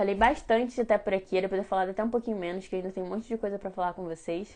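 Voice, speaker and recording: A woman at medium pitch, very fast, with fairly even intonation. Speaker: baking teacher. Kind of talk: live-streamed class. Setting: Instagram live stream.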